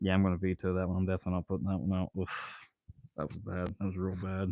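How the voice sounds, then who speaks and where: A man with an American accent speaks at a very fast pace in a very deep, low pitch, his intonation monotone and flat. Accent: sounds Southern to some. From Ohio. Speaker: YouTube live streamer and amateur songwriter. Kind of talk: casual live stream chat. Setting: workshop, repairing a weed eater. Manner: halting, filler-heavy.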